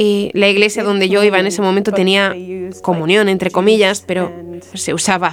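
Over noticeable background noise, a woman speaks at a medium pitch and moderate pace in a monotone, flat intonation. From US Midwest, Marshfield, Wisconsin. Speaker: guest sharing faith story. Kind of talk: testimony.

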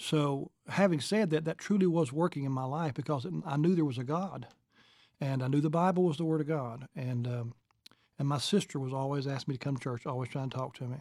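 A man with a Kentucky accent talks at a fairly quick pace in a fairly high pitch, on a very clean recording with a silent background. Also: ordinary pitch variation. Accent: Southern US (Kentucky). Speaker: evangelist and church planter. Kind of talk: interview testimony.

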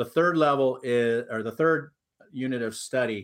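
A man with an American accent speaks at a medium pitch with fairly even intonation. The recording is very clean, the background silent. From Southern California. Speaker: teacher and author. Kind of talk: interview.

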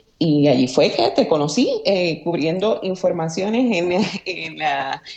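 Against noticeable background noise, a woman with a fairly low pitch speaks very slowly with lively intonation. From Aguada, western Puerto Rico. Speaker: former journalist, communications professional. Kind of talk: casual interview. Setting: remote call, early morning. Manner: halting, many fillers.

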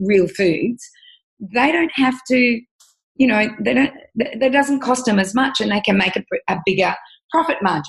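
Somewhat breathy and with lively intonation, a woman speaks with an Australian accent. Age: 50s. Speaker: nutritionist and author. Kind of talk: interview.

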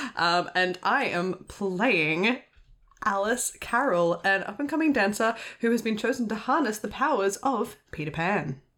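With an Australian accent, a woman speaks at a fairly slow pace in a fairly high pitch and lively intonation. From Sydney, Australia. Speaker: actual play roleplayer. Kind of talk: tabletop roleplay narration.

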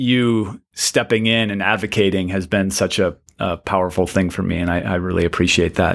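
A man with a fairly low pitch and an unremarkable speaking voice talks at a moderate pace. His intonation is fairly even, and the recording is very clean with a silent background. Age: 40s. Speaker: poet and high school teacher. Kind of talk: casual conversation.

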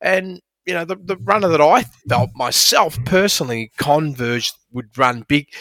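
A man with an Australian accent speaks at a moderate pace with lively intonation, his pitch fairly high and his tone bright and sharp. The very clean recording sounds dry and close, with no echo and a silent background. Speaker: horse racing analyst. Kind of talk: casual sports analysis chat.

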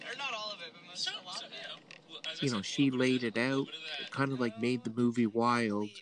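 Talking very fast with a Canadian accent, a man at a medium pitch uses lively intonation and big swings in loudness over noticeable background noise. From Ontario, Canada. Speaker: podcast host. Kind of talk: casual chat.

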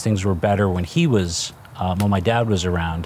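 A man with a New Jersey accent, fairly low-pitched and fairly quick, against noticeable background noise. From New Jersey (Newark). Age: 50s. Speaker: restaurant chain co-founder. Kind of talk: casual interview. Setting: studio.

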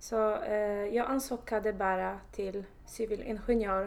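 A woman with a Polish accent at medium pitch, very slow pace, fairly even intonation and audible room echo. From Poland. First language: Polish (speaking Swedish). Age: 20s. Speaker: surveying manager in construction. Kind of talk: interview. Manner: halting.

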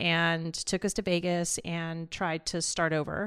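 A plain, everyday voice from a woman in an American accent, fairly low in pitch, on a very clean recording with a silent background. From Los Angeles, California (East LA). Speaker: former state legislator and media founder. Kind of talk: interview.

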